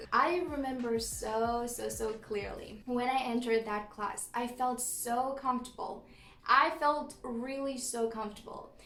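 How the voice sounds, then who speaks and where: Speaking at a fairly slow pace with a slight non-native accent, a woman uses a high pitch and fairly even intonation amid audible room echo. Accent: slight non-native accent, praised by viewers. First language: Romanian. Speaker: vlogger. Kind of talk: casual storytelling vlog.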